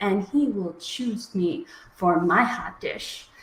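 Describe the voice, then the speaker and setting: Noticeable background noise sits behind a woman with an American accent who speaks at a very slow pace with very wide pitch swings. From US Midwest, Minnesota. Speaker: slam poet. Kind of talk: poetry performance. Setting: live stream.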